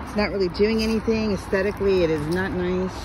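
The recording is dry, with no echo. Loud background noise runs underneath. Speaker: property walkthrough narrator. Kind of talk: casual walkthrough commentary. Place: garden. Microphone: phone near.

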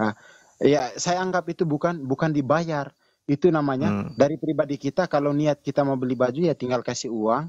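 A man speaks at a moderate pace in a plain, everyday voice. The sound is dry and close with no echo, over a quiet background. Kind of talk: heated debate. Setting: livestream video call. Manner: loud.

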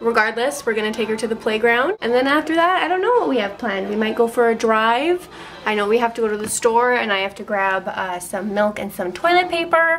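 Light background noise sits behind a female speaker talking at a fairly quick pace. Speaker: family vlogger. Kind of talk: casual vlog chat. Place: kitchen. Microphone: phone near.

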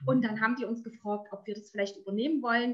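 A woman against a quiet background. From eastern Germany, Erzgebirge (Saxony); Saxony, Germany. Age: 40s. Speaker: entrepreneur, network marketer. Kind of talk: interview. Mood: cheerful, warm. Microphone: webcam.

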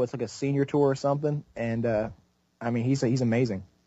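Speaking at a fairly quick pace, a man in a plain, everyday voice keeps a medium pitch and fairly even intonation. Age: 20s. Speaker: gaming YouTuber. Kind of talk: casual chat.

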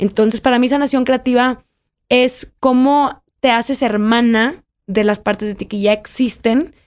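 A woman speaks in a plain, everyday voice. Her pitch is fairly high and her intonation fairly even. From Mexico, Monterrey; Nuevo León, Mexico. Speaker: writer; podcast guest. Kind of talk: interview. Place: studio. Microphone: studio mic.

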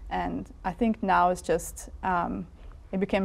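This is a woman speaking. She talks with a Russian accent. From Siberia, Russia. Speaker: media researcher; interviewee. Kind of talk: interview. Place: studio. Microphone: lapel.

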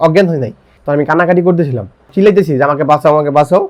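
Using a plain, everyday voice, a man speaks fairly high in pitch, with ordinary pitch variation. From Bangladesh, Gazipur (Kaliganj). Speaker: accident survivor, amputee. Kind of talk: personal life story testimony.

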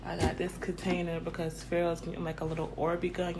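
A woman talks at a very fast pace. Loud background noise runs behind her. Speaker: vlogger. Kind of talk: casual vlog chat. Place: kitchen. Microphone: phone near.

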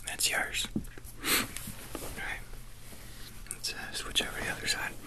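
The man's voice is a whisper. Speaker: ASMR roleplay groomer. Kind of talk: ASMR roleplay personal attention, soft spoken talk to the listener. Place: home room. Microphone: earbuds.

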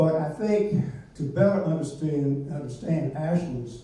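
In a strong room echo, a man with an American accent talks at a moderate pace in a fairly high voice with ordinary pitch variation. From Virginia, US South. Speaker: local historian. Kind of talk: lecture. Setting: stage with audience. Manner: self-deprecating humor.

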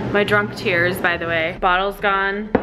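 Music plays in the background. Over it, a woman talks at a fairly slow pace. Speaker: home baker vlogger. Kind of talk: casual vlog chat.

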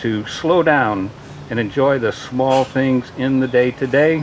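There is light background noise as a man talks at a moderate pace. His pitch varies in an ordinary way. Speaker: ceremony reader giving a blessing. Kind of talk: prayer reading at a wedding. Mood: warm, solemn. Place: garden. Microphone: podium.

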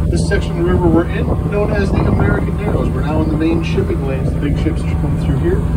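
Over loud background noise, the speaker goes at a very fast pace with ordinary pitch variation. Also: man. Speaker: tour boat guide. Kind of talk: tour commentary. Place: boat.

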